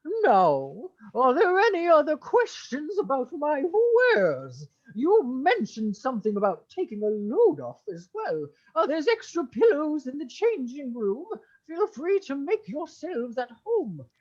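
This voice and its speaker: A put-on character voice, high-pitched and theatrical, with very wide pitch swings at a moderate pace. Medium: actual play. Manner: gushing, theatrical, refined.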